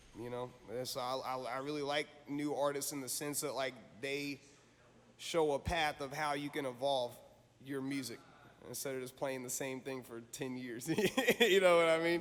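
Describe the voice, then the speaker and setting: An unremarkable speaking voice from a man with an American accent, fairly high in pitch, with fairly even intonation and a moderate pace. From Southern US. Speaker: blues musician. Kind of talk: interview answer. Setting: on location.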